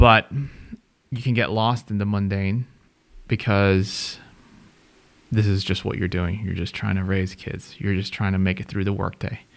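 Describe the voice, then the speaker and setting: Fairly low in pitch, a man with an ordinary speaking voice talks at a fairly slow pace with fairly even intonation. The recording is very clean, with a silent background. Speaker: podcast host. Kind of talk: casual conversation between spouses.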